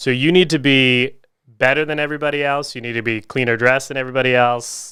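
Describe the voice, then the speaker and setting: In a Southern US accent, a man talks very fast with a bright, sharp tone. His pitch sits in the medium range with fairly even intonation. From US South, Augusta, Georgia. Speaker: physical rehab clinic owner. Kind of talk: interview. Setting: studio.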